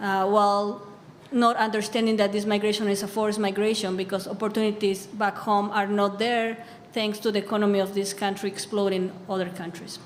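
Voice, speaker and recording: Monotone, flat speech from a woman at a fairly quick pace, with audible room echo and noticeable background noise. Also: medium pitch for a woman. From Bolivia. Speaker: immigrant advocate. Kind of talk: panel discussion.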